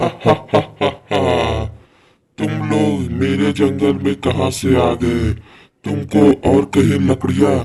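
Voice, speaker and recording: A man's cartoonish character voice, fairly low in pitch, at a moderate pace. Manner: menacing, cackling laughter.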